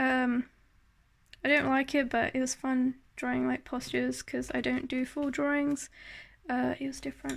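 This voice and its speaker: On a very clean recording with a silent background, a woman speaks with long, frequent pauses. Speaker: artist showing sketchbook. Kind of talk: casual tutorial-style show and tell. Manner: slow; hesitant, many fillers.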